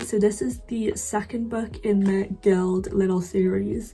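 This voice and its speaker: A woman speaks at medium pitch with fairly even intonation. Noticeable background noise runs behind her. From UK. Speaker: book youtuber. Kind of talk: casual monologue. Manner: chatty, frequent fillers.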